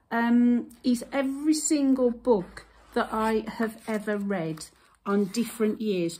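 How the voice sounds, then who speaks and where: At a very slow pace, a woman with a fairly high pitch speaks in a somewhat breathy voice with ordinary pitch variation. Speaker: YouTuber. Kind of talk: casual show-and-tell vlog. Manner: hesitant, with fillers.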